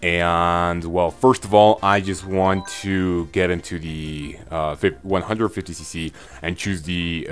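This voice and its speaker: A man is speaking. Music plays in the background. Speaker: gaming YouTuber. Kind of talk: gameplay commentary. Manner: quieter than usual; halting, many fillers.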